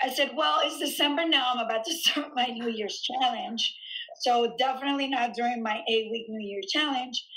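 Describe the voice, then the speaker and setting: Over noticeable background noise, a woman uses a raised, projected voice with a high pitch at a moderate pace. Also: ordinary pitch variation. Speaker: gym owner and fitness coach. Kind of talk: casual interview chat. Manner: animated.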